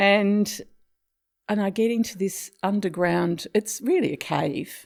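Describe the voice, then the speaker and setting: In a very clean recording with a silent background, a woman with an Australian accent speaks at a very slow pace and medium pitch, with ordinary pitch variation. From Tasmania, Australia. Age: 70s. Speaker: retired psychiatric health worker. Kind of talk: interview storytelling.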